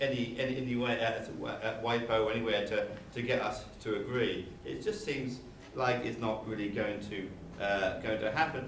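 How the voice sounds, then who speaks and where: A man at a medium pitch and moderate pace, fairly even in intonation, with audible room echo and noticeable background noise. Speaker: law professor. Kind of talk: conference talk. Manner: halting, many fillers and repetitions.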